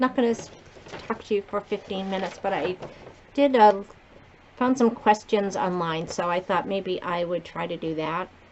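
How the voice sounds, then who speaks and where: A woman's medium-pitched, lively voice at a moderate pace, with long, frequent pauses and noticeable background noise. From Massachusetts, between Providence and Boston. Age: 60s. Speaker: beauty vlogger. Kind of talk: casual chat. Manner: casual, rambling with fillers.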